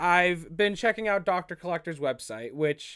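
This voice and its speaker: This man's voice has a fairly high pitch. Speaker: YouTube prop collectible reviewer. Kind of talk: casual product review vlog. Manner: halting, stumbles over words; casual, chatty.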